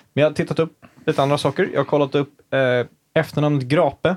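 There is vocal fry in this man's voice, and his pitch varies in an ordinary way. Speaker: podcast host. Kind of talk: casual chat.

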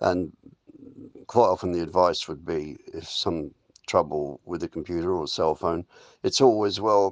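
In a dry, close sound with no echo and a quiet background, a man with an English accent speaks at a very deep, low pitch. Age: 80s+. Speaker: yoga and wellness facilitator. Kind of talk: spiritual self-help talk.

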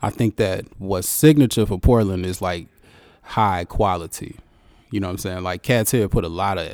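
A man speaks at a moderate pace with a fairly low pitch. His pitch variation is ordinary, and it's an ordinary speaking voice. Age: 30s. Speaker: hip-hop artist. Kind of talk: interview. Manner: laid-back, laughing often.

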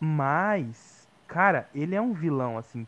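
Recorded with a dry, close sound and no echo, a man speaks with lively intonation. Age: 20s. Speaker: film student. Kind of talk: casual chat.

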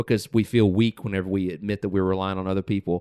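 In an unremarkable speaking voice, a man with an American accent talks at a fairly quick pace and fairly low pitch, the recording very clean with a silent background and a dry, close sound with no echo. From US South. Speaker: podcast host. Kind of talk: casual chat.

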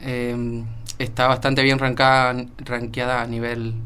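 A man speaks with a monotone, flat intonation. There is audible room echo. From Argentina, San Juan. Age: 20s. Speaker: young industrial engineer. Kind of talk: radio interview.

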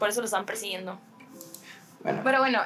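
Her pitch is high, and the woman's voice shows ordinary pitch variation. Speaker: podcast co-host, filmmaker. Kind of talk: casual film discussion chat.

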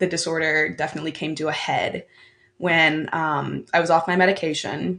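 In a quiet background, a woman speaks with a very deep, low voice and vocal fry. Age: 20s. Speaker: university student. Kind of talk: casual chat.

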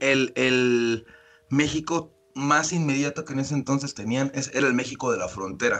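A man's normal speaking voice, medium in pitch with ordinary pitch variation, at a fairly slow pace. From Mexico City. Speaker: podcast co-host. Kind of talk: casual chat.

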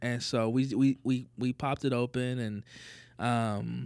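In a plain, everyday voice, a man with an American accent speaks at medium pitch with fairly even intonation, on a very clean recording with a silent background. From US South. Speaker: church pastor. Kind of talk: casual chat.

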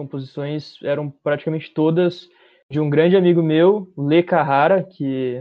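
A man with a fairly high pitch and ordinary pitch variation speaks in an unremarkable speaking voice. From Bauru, interior of São Paulo state, Brazil. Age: 20s. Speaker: musician and music producer. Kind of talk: casual interview chat.

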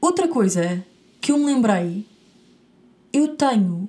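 Lively intonation in a European Portuguese accent. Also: woman. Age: 20s. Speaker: podcast host. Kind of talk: casual chat.

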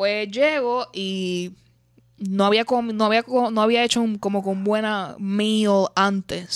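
This is a very clean recording with a silent background. A woman uses an ordinary speaking voice at medium pitch with fairly even intonation. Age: late 20s. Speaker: podcast host. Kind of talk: casual chat.

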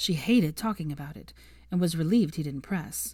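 Low-pitched and dark, mellow in tone, a woman speaks at a moderate pace. Her pitch varies in an ordinary way.

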